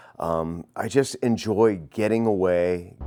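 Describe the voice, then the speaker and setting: In a very clean recording with a silent background, a man speaks with a dark, mellow tone. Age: 60s. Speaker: archer. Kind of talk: interview.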